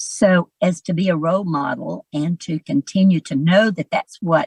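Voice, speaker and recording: In a Southern US accent, a woman speaks fairly slowly and somewhat breathily at a fairly low pitch, her pitch varying in an ordinary way, in a dry, close sound with no echo. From US South, Georgia (Alpharetta). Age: 70s. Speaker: real estate broker and educator. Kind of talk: interview.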